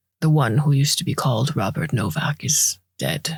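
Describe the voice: A man uses a hoarse, put-on character voice at a fairly high pitch. He speaks at a moderate pace. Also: ordinary pitch variation.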